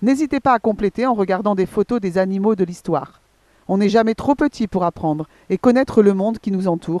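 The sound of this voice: This is an unforced reading voice. The pitch variation is ordinary.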